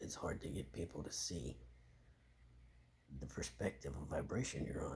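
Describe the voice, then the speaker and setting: Long, frequent pauses break up a man's moderate-paced speech, which carries vocal fry and ordinary pitch variation. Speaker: vlogger. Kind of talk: casual monologue. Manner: halting, self-correcting.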